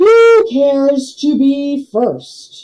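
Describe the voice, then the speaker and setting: Using a put-on character voice, a woman speaks high and with very wide pitch swings. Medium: read story. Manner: slow, pompous, clipped phrases.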